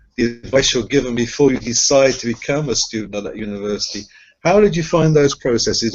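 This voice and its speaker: A man with a British accent speaks at a medium pitch. His intonation is lively and his pace fairly quick. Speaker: accreditation reviewer. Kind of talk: interview.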